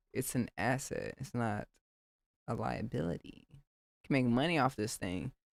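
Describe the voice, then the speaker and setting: Her voice very deep and low, with vocal fry, a woman talks at a fairly slow pace with lively intonation, the sound dry and close with no echo. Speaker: music producer streamer. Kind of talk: live stream chat.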